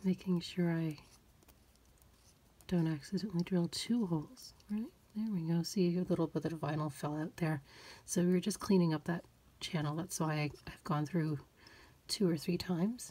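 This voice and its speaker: Quiet and somewhat breathy, a woman speaks at a fairly low pitch with long, frequent pauses on a very clean recording with a silent background. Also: ordinary pitch variation. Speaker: doll collector YouTuber. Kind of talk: tutorial. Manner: slow.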